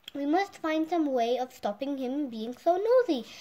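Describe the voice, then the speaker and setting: In a put-on character voice, a woman speaks at a moderate pace with a high pitch and lively intonation. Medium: read story.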